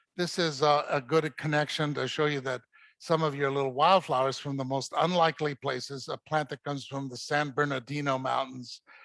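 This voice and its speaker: Against a quiet background, a man talks at a fairly quick pace in a fairly high, monotone, flat voice, the sound dry and close with no echo. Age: 70s. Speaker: botanic garden curator. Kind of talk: lecture. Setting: stage with audience. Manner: halting.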